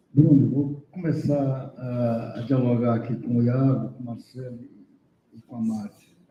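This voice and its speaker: Speaking at a fairly slow pace, a man with a medium-pitched, dark, mellow and somewhat breathy voice keeps fairly even intonation while his loudness swings widely. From Brazil, Piauí. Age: 60s. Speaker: professor, seminar speaker. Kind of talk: academic panel discussion.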